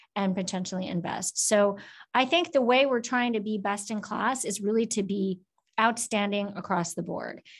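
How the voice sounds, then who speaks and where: A woman speaks at a fairly quick pace in a normal speaking voice, with medium pitch and ordinary pitch variation. The background is quiet. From US Midwest, Minnesota. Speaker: finance academic and former government official. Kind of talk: interview.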